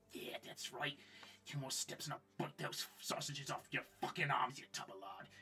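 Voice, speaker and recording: A man does a put-on character voice. It is raspy and fairly high. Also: moderate pace. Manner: taunting, insulting.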